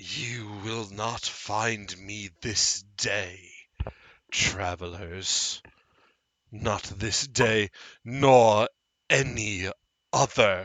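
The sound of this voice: Putting on a character voice, a man talks raspy and fairly low in pitch at a very slow pace, with fairly even intonation and long, frequent pauses.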